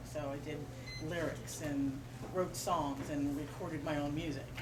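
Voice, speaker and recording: Noticeable background noise behind a woman's very deep, low-pitched voice. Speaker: spoken word poet. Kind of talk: casual talk to audience. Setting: bookstore reading event, live audience.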